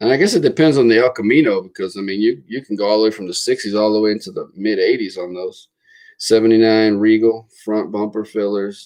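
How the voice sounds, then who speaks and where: A man with an American accent talks at a very fast pace with ordinary pitch variation against a quiet background. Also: fairly low pitch for a man. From Florida. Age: 40s. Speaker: car channel host. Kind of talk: casual livestream chat. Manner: halting, many repetitions and fillers.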